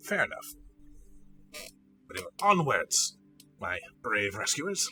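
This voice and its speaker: A man does a put-on character voice over faint music in the background. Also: moderate pace. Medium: actual play. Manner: courtly, chivalrous.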